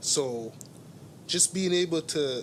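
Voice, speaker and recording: Noticeable background noise sits behind this recording. A man speaks at a very slow pace with ordinary pitch variation. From immigrant to Canada. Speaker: artist and entrepreneur. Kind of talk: casual interview. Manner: repetitive, halting.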